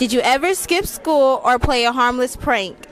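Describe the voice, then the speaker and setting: Noticeable background noise behind a woman's high-pitched voice. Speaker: interviewer. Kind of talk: interview questions.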